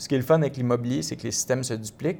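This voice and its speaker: The recording is very clean, with a silent background. A man speaks with a fairly high pitch and ordinary pitch variation. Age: 30s. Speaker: real estate investor. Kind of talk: casual interview.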